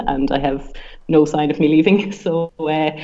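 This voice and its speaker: A woman with an Irish accent speaks at a moderate pace in a very deep, low pitch. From Ireland. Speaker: sports science researcher. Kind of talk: podcast interview. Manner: hesitant with fillers.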